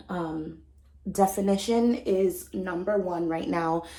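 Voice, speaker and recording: The room echo is audible. A woman speaks at a medium pitch. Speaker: beauty and hair vlogger. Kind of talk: casual vlog talk to camera. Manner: chatty with many ums and likes.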